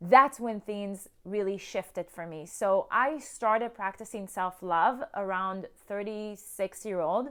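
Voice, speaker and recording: Loud and animated, a woman with a medium pitch and ordinary pitch variation speaks at a fairly slow pace with hardly any pauses, on a very clean recording with a silent background. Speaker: self-love coach. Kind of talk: motivational talk to camera.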